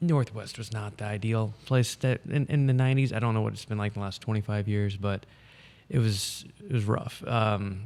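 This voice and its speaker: With an American accent, a man speaks at medium pitch and a moderate pace, his intonation fairly even. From US Midwest, St. Louis area (Jefferson County, Missouri). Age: 40s. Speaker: political candidate. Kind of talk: casual interview.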